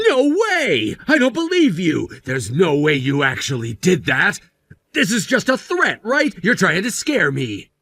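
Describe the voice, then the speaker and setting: Putting on a character voice, a man talks high in pitch at a moderate pace. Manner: shocked, disbelieving.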